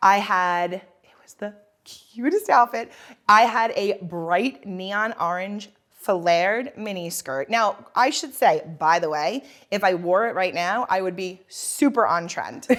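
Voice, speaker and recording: Loud and animated, a woman speaks on a very clean recording with a silent background. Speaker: fashion podcast co-host. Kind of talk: casual chat.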